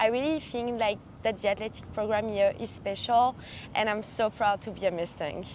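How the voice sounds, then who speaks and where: A woman speaks with a French accent at a fairly high pitch. Her pace is moderate and her pitch variation ordinary. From southern France, Montpellier. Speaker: college athlete. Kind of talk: podcast introduction.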